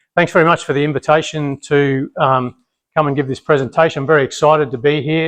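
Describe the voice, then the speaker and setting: Dry, close sound with no echo: a man with a fairly high pitch and an Australian accent, against a quiet background. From Australia, Brisbane. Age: 50s. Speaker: military family history speaker. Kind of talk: public talk. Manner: loud; many fillers and repetitions.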